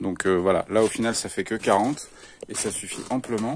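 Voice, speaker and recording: The speech has ordinary pitch variation. It moves at a moderate pace. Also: man. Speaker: vlogger organizing a live-action role-play event. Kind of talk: casual vlog walkthrough. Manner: loud.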